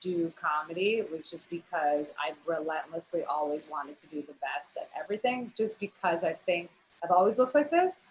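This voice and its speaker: A woman speaks with an American accent at a moderate pace. Her pitch is fairly low. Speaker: comedy writer. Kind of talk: casual chat. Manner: loud.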